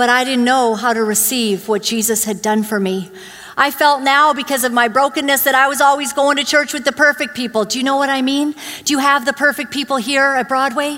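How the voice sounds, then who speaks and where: A woman speaks in a raised, projected voice with a high pitch and fairly even intonation. Her pace is fairly quick, and there is noticeable background noise. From born in Uganda, grew up in Canada (Vancouver area). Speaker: guest preacher. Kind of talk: sermon. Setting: church.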